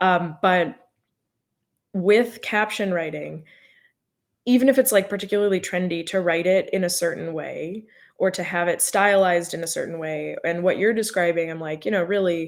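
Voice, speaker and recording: With an American accent, a woman has an unremarkable speaking voice at medium pitch, with ordinary pitch variation, a moderate pace, and a very clean recording over a silent background. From US Midwest. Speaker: social media marketing consultant. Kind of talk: live podcast interview. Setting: livestream.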